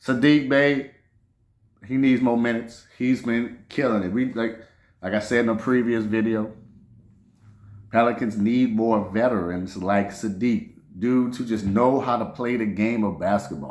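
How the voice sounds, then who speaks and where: A man talks at a moderate pace and medium pitch. Audible room echo is present. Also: ordinary pitch variation. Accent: New Orleans. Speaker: sports podcaster. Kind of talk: casual sports commentary monologue. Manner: animated.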